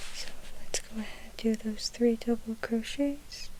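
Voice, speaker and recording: The speaker is whispering, soft-spoken, in a calm tone at a fairly slow pace. Noticeable background noise is present. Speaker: ASMR crochet tutorial host. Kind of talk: ASMR crochet tutorial, step-by-step instruction. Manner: soft-spoken with whispers, calm, slow.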